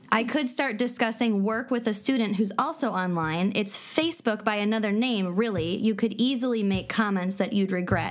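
Against noticeable background noise, a woman with an American accent talks at a moderate pace, her fairly high pitch showing ordinary variation. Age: 30s. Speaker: podcast co-host. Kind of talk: casual chat with reading of definitions.

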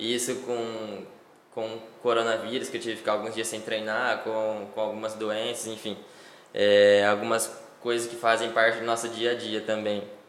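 Over noticeable background noise and audible room echo, a man speaks at a moderate pace with monotone, flat intonation. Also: medium pitch for a man. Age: 20s. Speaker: professional cyclist. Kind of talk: casual interview.

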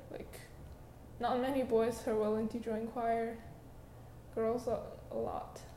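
A woman speaks in a Chinese accent at a fairly slow pace, with long, frequent pauses and fairly even intonation. Noticeable background noise runs under her voice. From China. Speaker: podcaster. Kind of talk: personal storytelling. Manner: halting.

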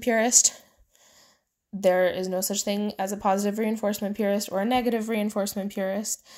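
A woman with a Midwestern American accent speaks at a medium pitch and a fairly quick pace in a flat, monotone way, on a very clean recording with a silent background. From US Midwest. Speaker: horse trainer and podcast host. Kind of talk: casual solo podcast talk. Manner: informal, many fillers and laughs.

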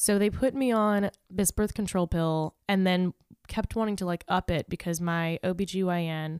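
A woman with an American accent talks at a moderate pace. The very clean recording has a silent background and a dry, close sound with no echo. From Southern California (La Puente). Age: 20s. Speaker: comedian and podcaster. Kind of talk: casual chat.

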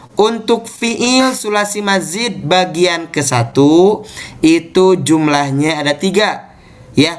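A man's intonation is lively. He speaks very slowly. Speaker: Islamic teacher. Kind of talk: online class lesson. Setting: video call. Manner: formal, teacherly.

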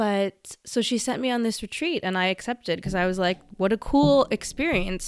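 The recording is very clean with a silent background. A woman with a normal speaking voice and a Canadian accent talks at a moderate pace, medium in pitch with ordinary pitch variation. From western Canada. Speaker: podcast host. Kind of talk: personal monologue.

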